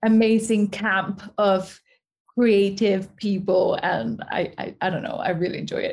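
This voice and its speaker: Speaking at a fairly slow pace, a woman holds a medium pitch in monotone, flat intonation. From Mexico. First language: Spanish. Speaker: actress. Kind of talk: casual chat.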